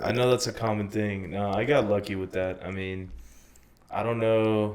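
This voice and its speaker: Fairly low-pitched and fairly even in intonation, a man speaks at a moderate pace. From northern Mexico, then South Texas border. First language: Spanish. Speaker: musician. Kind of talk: casual interview.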